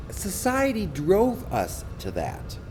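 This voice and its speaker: Male speech with clear background noise and a noticeable echo from the room. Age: 60s. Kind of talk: interview. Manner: animated.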